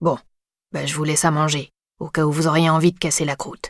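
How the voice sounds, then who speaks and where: A man puts on a character voice, talking fairly quickly in a fairly high pitch with flat, monotone intonation and a dry, close sound free of echo. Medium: read story. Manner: plain, colloquial speech.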